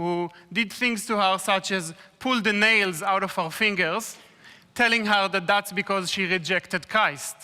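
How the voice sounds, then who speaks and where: The speech moves at a fairly slow pace. It carries an Israeli accent. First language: Hebrew.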